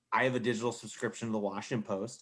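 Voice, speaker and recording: Here is a man with a plain, everyday voice. His pitch is medium and his intonation fairly even. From US Mid-Atlantic, Maryland suburbs of DC. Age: 30s. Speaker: sports journalist. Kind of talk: casual chat.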